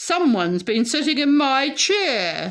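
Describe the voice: In a put-on character voice, a woman talks fairly slowly at a high pitch with very wide pitch swings.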